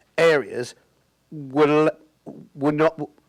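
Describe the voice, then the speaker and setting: A man with a British accent is heard in a very clean recording with a silent background and a dry, close sound with no echo. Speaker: audience member asking a question. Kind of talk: audience question. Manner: halting, many repetitions.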